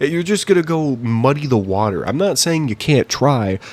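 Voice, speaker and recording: Mumbling at a fairly quick pace, a man speaks with lively intonation. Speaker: YouTube commentator. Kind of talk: opinion rant. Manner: halting.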